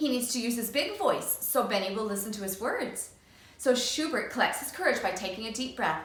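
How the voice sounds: The speaker reads in a natural voice. Pitch shifts in an ordinary way.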